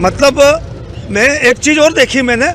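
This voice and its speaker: There is noticeable background noise behind a man speaking with ordinary pitch variation. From Madhya Pradesh, India (Khargone). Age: 70s. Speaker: former legislator. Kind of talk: street interview.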